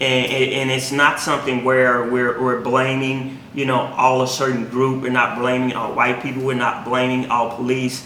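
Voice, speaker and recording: A man's medium-pitched, monotone voice with flat intonation, a moderate pace, hardly any pauses and noticeable background noise. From Mississippi Delta. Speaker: faith podcast co-host. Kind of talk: casual conversation on faith and race; prayer.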